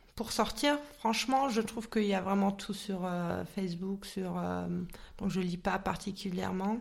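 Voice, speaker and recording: A woman of medium pitch speaks at a fairly slow pace with hardly any pauses and ordinary pitch variation. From Munich, Germany. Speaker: psychologist and coach. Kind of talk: interview. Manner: hesitant.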